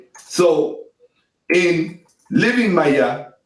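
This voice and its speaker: There is audible room echo around a man with a high pitch. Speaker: relationship speaker. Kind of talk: discussion. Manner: slow and deliberate.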